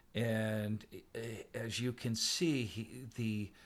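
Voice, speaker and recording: This man has a plain, everyday voice at a medium pitch. His intonation is fairly even. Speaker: podcast co-host. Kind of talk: casual banter with poem reading. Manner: playful, laughing, bantering.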